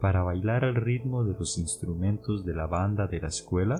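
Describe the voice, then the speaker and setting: Over music in the background, a man with a Costa Rican accent and a very deep, low pitch speaks at a fairly slow pace with lively intonation. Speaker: podcast host, Spanish teacher. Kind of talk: educational podcast narration. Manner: clear and slow.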